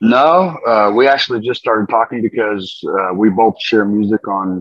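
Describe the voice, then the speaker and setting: This man has a fairly low pitch. He keeps to a moderate pace. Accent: slight Southwestern US. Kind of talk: casual interview.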